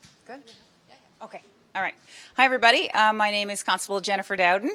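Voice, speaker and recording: A woman with a Newfoundland accent talks at a very fast pace in a bright, sharp tone. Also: medium pitch for a woman, fairly even intonation, big swings in loudness. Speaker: police constable. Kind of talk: storytelling talk at book launch. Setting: book launch event with live audience.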